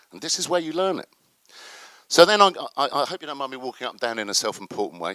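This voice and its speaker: Animated and bright with a sharp tone, a man's voice carries vocal fry and very wide pitch swings. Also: dry, close sound with no echo. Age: 60s. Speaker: activist and panel speaker. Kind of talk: conference talk. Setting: stage with audience.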